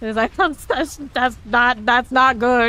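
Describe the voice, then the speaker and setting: With an American accent, a woman speaks at a fairly slow pace. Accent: slight Southern drawl, stronger when lazy. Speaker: video game streamer. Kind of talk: casual live stream chat. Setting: live stream.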